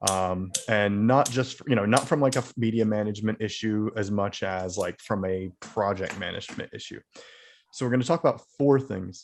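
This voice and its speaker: Over a quiet background, a man with an unremarkable speaking voice talks at a moderate pace, his fairly low pitch showing ordinary variation. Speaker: video editor presenting at user group. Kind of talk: software presentation at user group meeting. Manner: casual, filler-heavy.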